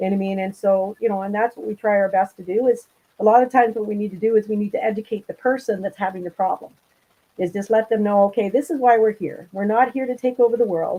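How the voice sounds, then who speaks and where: Speaking very fast with an Ontario accent, a woman with a fairly high pitch and a dark, mellow tone keeps her intonation fairly even. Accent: Canadian (Ontario). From Southern Ontario, Canada. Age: 60s. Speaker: angling club representative. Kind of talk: casual chat.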